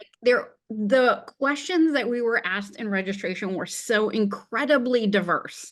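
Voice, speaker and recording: A woman speaks at a fairly slow pace in an animated tone, her fairly high voice showing ordinary pitch variation against a quiet background. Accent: Wisconsin. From central Wisconsin, US Midwest. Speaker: webinar co-host. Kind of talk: casual chat.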